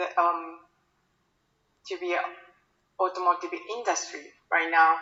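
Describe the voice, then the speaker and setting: The speaker talks at a fairly slow pace with a Japanese accent. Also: woman. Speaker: sales account manager. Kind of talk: invited talk. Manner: halting.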